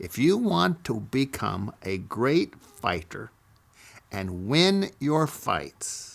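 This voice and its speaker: A man with an American accent speaks very slowly at a medium pitch, with vocal fry. His pitch swings very widely. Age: 80s+. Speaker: storyteller recounting memoirs. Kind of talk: personal storytelling.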